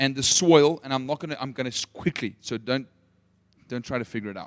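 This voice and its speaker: The sound is dry and close with no echo as a man talks at a fairly quick pace with ordinary pitch variation. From South Africa, Potchefstroom. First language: Afrikaans. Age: 30s. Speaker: missions leader and preacher. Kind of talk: sermon. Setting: stage with audience.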